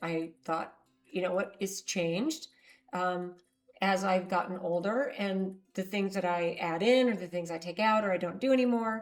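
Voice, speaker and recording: A woman's medium-pitched voice at a moderate pace, with ordinary pitch variation and music in the background. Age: 60s. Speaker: herbalist. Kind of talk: casual talk to camera.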